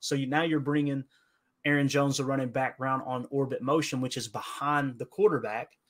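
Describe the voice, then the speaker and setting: A man speaks with an Appalachian accent and a fairly high pitch. The recording is very clean, with a silent background. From Kentucky, Appalachia. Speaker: football podcaster. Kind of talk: podcast interview, football breakdown. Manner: clips syllables, fast when nerding out.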